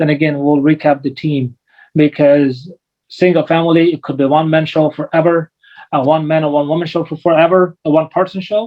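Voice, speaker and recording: Talking at a fairly quick pace, a man with a fairly high pitch keeps his intonation fairly even. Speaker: commercial real estate investor. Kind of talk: webinar presentation. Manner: fast; high intensity.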